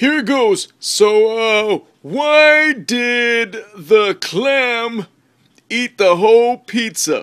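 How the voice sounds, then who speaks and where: Very slow speech in a cartoonish character voice. Each word is stretched out. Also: man, extremely high pitch for a man. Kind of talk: comedy sketch. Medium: puppet.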